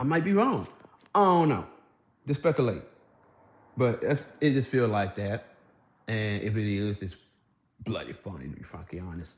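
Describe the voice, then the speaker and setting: A man's somewhat breathy voice at medium pitch with an American accent, very wide pitch swings and long, frequent pauses. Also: moderate pace. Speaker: YouTuber commentator. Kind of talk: casual rant vlog. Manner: halting.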